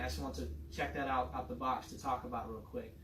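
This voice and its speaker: A man is speaking in a room with audible echo. Noticeable background noise can be heard as well. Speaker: fitness and nutrition coach. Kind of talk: casual educational chat.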